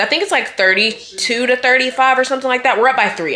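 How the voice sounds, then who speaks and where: The speaker has an animated tone. Noticeable background noise is present. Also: woman. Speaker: college student vlogger. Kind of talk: casual vlog to camera.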